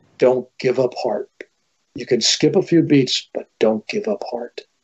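A man's put-on character voice at a medium pitch, fairly slow, with lively intonation

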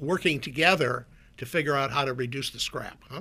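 Bright and sharp in tone, a man with an Upper Midwest accent speaks at a fairly high pitch with ordinary pitch variation. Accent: Upper Midwest American. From US Midwest (North Dakota). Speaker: former CEO. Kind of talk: radio interview. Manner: down-to-earth.

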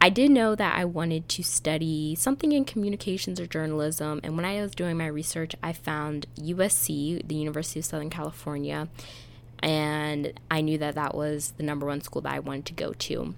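A woman with an American accent has a very deep, low pitch and ordinary pitch variation. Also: fairly quick pace. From Pennsylvania. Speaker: podcast host and college admissions coach. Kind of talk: casual monologue.

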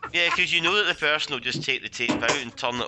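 A man speaks with lively intonation in a Glaswegian accent. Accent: Glaswegian Scottish. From Scotland, Glasgow. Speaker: movie commentary podcast guest. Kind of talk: casual group movie commentary. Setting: Skype call.

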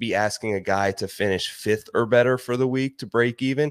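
An ordinary speaking voice from a man with an American accent, ordinary pitch variation and a moderate pace, on a very clean recording with a silent background and a dry, close sound with no echo. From Ohio. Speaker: golf betting analyst and podcaster. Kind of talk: interview.

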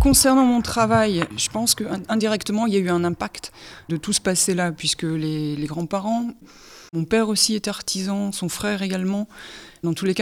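This woman has an unremarkable speaking voice, medium in pitch, with ordinary pitch variation. She speaks at a moderate pace on a very clean recording with a silent background. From northern France, Pas-de-Calais mining basin. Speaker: visual artist and sound creator. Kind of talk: interview testimony.

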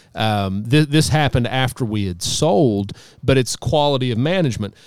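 A man's normal speaking voice at a medium pitch, with lively intonation and a fairly quick pace. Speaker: financial advisor. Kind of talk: casual chat.

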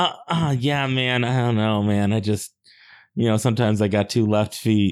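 A man speaks in a plain, everyday voice at medium pitch, with ordinary pitch variation and a moderate pace. The recording is very clean, with a silent background. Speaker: tabletop game player. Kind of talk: actual play roleplaying session.

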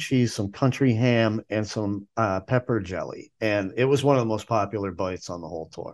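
Against a quiet background, a man speaks in an enthusiastic tone. His pace is moderate, with ordinary pitch variation. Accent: American. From northern US, Chicago area. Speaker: food tour guide. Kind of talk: casual interview.

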